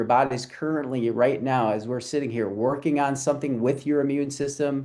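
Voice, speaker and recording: This man has an unremarkable speaking voice, fairly high in pitch, with an American accent. He talks at a moderate pace with ordinary pitch variation against a quiet background. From US Midwest. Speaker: chiropractor and health educator. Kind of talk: health talk on a live group call. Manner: casual, conversational.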